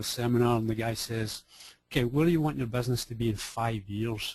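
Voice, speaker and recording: In a Scottish accent, a man speaks at a very fast pace with a somewhat breathy voice, medium pitch and fairly even intonation. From Scotland. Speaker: business coach. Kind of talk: webinar presentation. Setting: online webinar. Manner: casual, conversational with fillers.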